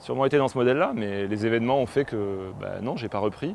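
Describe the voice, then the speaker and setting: A man at a fairly quick pace, dry sound with no echo and light background noise. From western France, Poitou; western France. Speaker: film director. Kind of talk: personal testimony interview. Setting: on location at family farm. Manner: halting, with many hesitations. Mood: reflective, personal. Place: farm machine.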